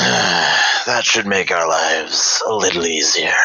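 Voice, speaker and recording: A man puts on a character voice and speaks at a fairly slow pace. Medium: actual play. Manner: terse, matter-of-fact.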